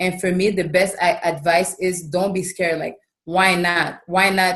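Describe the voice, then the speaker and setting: A woman with a Quebec accent and monotone, flat intonation. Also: medium pitch for a woman, fairly slow pace. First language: French. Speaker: professional basketball player. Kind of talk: podcast interview. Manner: casual.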